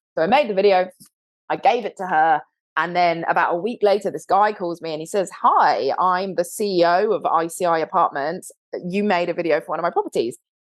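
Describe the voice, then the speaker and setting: A woman with a British accent, fairly low in pitch, animated in tone and fairly quick in pace. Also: ordinary pitch variation. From London, England. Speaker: co-founder of a video marketing agency, former TV host. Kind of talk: podcast interview.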